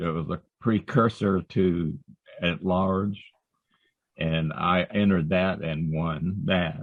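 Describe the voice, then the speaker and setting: A man with a very deep, low pitch speaks in an American accent with fairly even intonation. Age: 80s+. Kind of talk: interview conversation, reminiscing.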